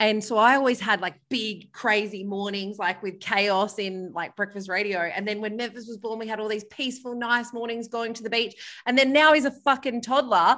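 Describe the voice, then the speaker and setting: A woman with an Australian accent talks at a moderate pace with hardly any pauses, using a fairly high pitch, ordinary pitch variation, a bright, sharp tone and big swings in loudness against a quiet background. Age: 30s. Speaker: author and former radio host. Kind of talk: casual interview chat. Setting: remote call from holiday villa.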